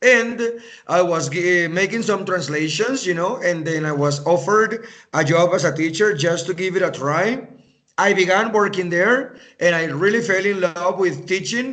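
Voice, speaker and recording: A man with a Spanish accent speaks at a high pitch in a bright, sharp tone. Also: ordinary pitch variation, moderate pace. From Venezuela, raised partly in US and Canada. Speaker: English teacher. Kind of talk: conversation practice interview.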